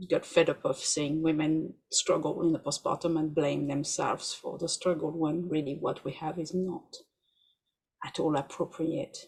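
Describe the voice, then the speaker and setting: A woman's very deep, low voice with a French accent, somewhat breathy, at a moderate pace with fairly even intonation. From France. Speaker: doula and researcher. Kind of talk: podcast interview.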